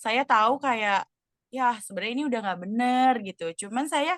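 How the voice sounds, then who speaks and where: A high-pitched woman at a moderate pace, with ordinary pitch variation, a dry, close sound with no echo, and a quiet background. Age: 20s. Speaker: role-play counseling client, student. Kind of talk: role-play counseling session. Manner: casual, hesitant with fillers.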